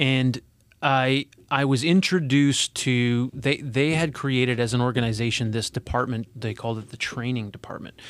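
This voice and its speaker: A man's unremarkable speaking voice at medium pitch, moderate pace and fairly even intonation, on a very clean recording with a silent background. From Alberta, Canada. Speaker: corporate HR executive. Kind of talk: casual interview. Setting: studio.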